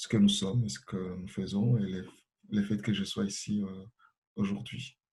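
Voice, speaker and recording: Somewhat breathy, a man speaks with fairly even intonation at a fairly low pitch. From Congo. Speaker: association president, refugee activist. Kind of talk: panel self-introduction. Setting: webinar. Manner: hesitant, many fillers.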